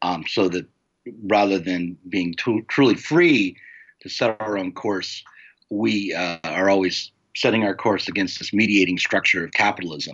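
A man speaks with an ordinary speaking voice at a fairly low pitch. His pace is moderate and his pitch variation ordinary. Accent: American. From United States. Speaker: publisher and novelist. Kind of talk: interview.

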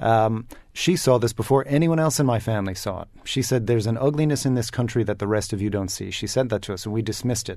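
A man's medium-pitched voice in a dark, mellow tone, at a very fast pace with hardly any pauses and ordinary pitch variation. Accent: New York. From US, New York. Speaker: communications executive. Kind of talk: panel discussion.

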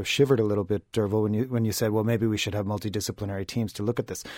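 On a very clean recording with a silent background, a man with an Irish accent talks at a very fast pace in a fairly low pitch with monotone, flat intonation. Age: 40s. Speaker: communications executive. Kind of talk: newspaper panel discussion.

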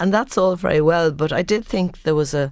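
A woman with an Irish accent and ordinary pitch variation. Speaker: theologian and lecturer.

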